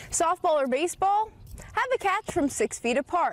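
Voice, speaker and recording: A woman with an extremely high pitch talks at a moderate pace, her pitch swinging very widely, while noticeable background noise runs underneath. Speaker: sports anchor and reporter. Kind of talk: sports news reporting and anchoring.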